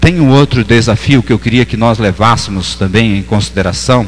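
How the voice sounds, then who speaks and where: A man speaking with ordinary pitch variation over background music. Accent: northeastern Brazilian. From Northeast Brazil. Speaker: pastor. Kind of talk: sermon. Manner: halting.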